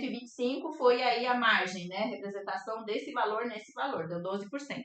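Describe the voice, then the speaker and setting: A woman with ordinary pitch variation. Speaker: art teacher and fluid art painter. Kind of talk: live online class. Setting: livestream.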